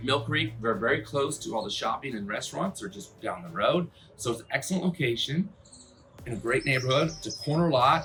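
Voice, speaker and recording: Noticeable background noise sits behind the speech. A man talks with lively intonation. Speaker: real estate agent and video host. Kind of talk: property tour. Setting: outdoors. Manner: fast; animated.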